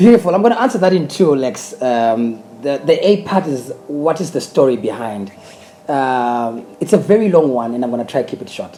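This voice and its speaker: Over noticeable background noise, a man with a Zimbabwean accent and a fairly high pitch speaks at a moderate pace with very wide pitch swings. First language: Shona. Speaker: gospel singer. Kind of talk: interview. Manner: halting, many repeated words.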